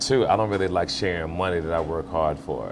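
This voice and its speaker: Very fast, a man speaks with ordinary pitch variation. Audible room echo and noticeable background noise surround him. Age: 60s. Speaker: actor and film producer. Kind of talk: casual interview. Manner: hesitant with many fillers.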